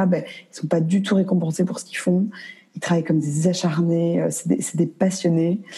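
A woman's fairly low voice in a monotone, flat intonation, against noticeable background noise. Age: 20s. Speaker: entrepreneur. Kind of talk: interview. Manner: halting.

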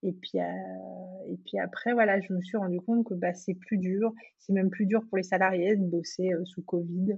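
Somewhat breathy, a woman speaks at a medium pitch and a moderate pace in a monotone, flat intonation. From Cameroon and Ivory Coast. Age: 30s. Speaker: entrepreneur. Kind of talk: interview. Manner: hesitant, many fillers.

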